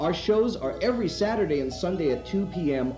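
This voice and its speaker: Music plays in the background while a man speaks at a moderate pace. His pitch swings very widely. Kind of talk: promotional narration.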